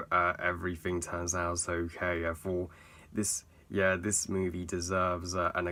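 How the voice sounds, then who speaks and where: A man's very deep, low voice with a bright, sharp tone, monotone and flat at a moderate pace, on a very clean recording with a silent background. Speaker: film reviewer. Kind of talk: movie review to camera. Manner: hesitant, many filler sounds.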